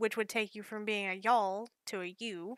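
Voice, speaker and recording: Speaking at a moderate pace with a slight Southern US accent, the voice has a bright, sharp tone, caught in a dry, close sound with no echo on a very clean recording with a silent background. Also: woman. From US South, rural north Georgia mountains. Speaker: digital artist. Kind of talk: casual chat.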